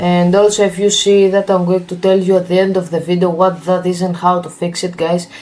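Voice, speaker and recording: Fairly quick speech with a Greek accent and monotone, flat intonation over noticeable background noise. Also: man, high pitch for a man, hardly any pauses. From Greece. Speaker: tech YouTuber. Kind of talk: tutorial.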